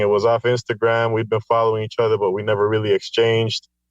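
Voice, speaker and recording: In a Spanish accent, the voice keeps a monotone, flat intonation, with a dry, close sound and no echo. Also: man. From Guatemala. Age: 40s. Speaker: poet. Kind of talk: casual interview. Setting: video call.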